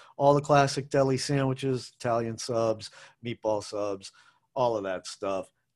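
In an ordinary speaking voice, a man with an American accent talks at a moderate pace, his pitch medium with ordinary variation. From Massachusetts, US (Brookline). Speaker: food podcast host. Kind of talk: casual monologue. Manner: casual, rambling with fillers.

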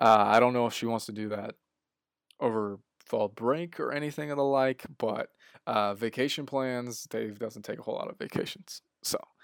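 Moderately paced, this man has an ordinary speaking voice at a medium pitch with fairly even intonation. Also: very clean recording, silent background. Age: 20s. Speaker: podcast host, graduate assistant in sports information. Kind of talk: solo podcast recap. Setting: solo podcast recording. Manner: casual, with frequent fillers and restarts.

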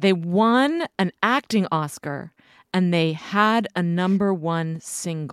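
With lively intonation, a woman speaks at a very slow pace in a dry, close sound with no echo. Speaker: podcast co-host. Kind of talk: casual interview conversation. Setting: studio.

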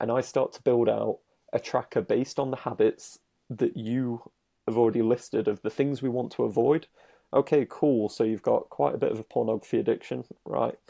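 Recorded very cleanly with a silent background and a dry, close sound with no echo, a man with a British accent talks at a fairly quick pace. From Britain. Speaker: dating coach. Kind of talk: casual chat.

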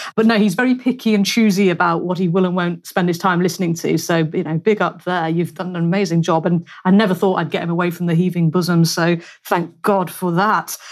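A woman with a British accent talks at a fairly quick pace with hardly any pauses. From United Kingdom. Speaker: podcast host. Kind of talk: casual interview chat. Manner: animated, chatty.

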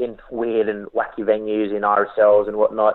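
A man with an Australian accent, fairly low-pitched, in a monotone, flat delivery. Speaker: professional wrestler. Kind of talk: interview. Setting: remote call.

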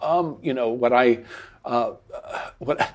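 Using ordinary pitch variation, a man with an American accent speaks at a moderate pace in a medium pitch. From United States. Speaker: playwright and political satirist. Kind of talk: interview conversation. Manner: halting, many fillers and repetitions.

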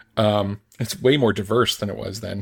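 A man with an American accent and a fairly low pitch sounds somewhat breathy, with fairly even intonation. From United States. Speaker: writer and author. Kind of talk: casual chat.

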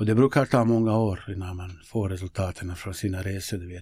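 A man with a Bosnian accent speaks at a fairly low pitch. His tone is dark and mellow, and somewhat breathy. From Bosnia, former Yugoslavia. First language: Bosnian (speaking Swedish). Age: 50s. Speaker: local politician and youth football coach. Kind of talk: interview conversation. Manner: hesitant, many fillers.

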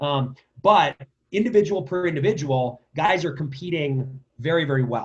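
The voice is somewhat breathy, moving at a moderate pace with lively intonation. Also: man, fairly high pitch for a man. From New Jersey, Princeton area. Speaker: lacrosse club director and coach. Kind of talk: interview.

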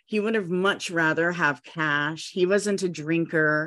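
Against a quiet background, a woman with a fairly low voice speaks at a fairly slow pace. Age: 40s. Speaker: psychic and magic teacher. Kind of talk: casual chat.

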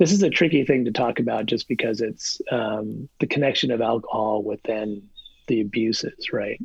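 In an American accent, a plain, everyday voice speaks at a moderate pace with ordinary pitch variation. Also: man, medium pitch for a man. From New Jersey. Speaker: professor. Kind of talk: casual interview.

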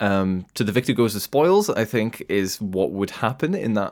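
A man speaks with a British accent at a fairly low pitch. His pitch varies in an ordinary way. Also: very clean recording, silent background. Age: young. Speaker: political commentator. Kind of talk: debate.

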